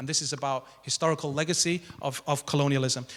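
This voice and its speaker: A man with a bright, sharp tone, ordinary pitch variation and a fairly quick pace. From northern England. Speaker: academic panelist. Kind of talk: panel talk. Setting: stage with audience in a grand hall. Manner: fast.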